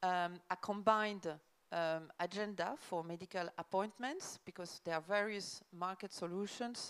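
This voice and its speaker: The speaker talks at a fairly slow pace with a French accent and fairly even intonation. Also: woman. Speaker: government official. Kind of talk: conference presentation. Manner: hesitant, many fillers.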